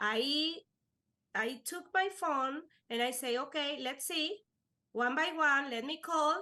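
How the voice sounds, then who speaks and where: Raised and projected, a woman's high-pitched voice has a bright, sharp tone and lively intonation while moving at a very slow pace. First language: Spanish. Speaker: life insurance agent. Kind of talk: podcast interview. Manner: halting.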